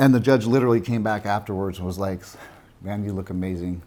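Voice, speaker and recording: A man's fairly low voice with fairly even intonation at a fairly quick pace. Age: 50s. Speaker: bodybuilder. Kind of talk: casual chat. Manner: halting.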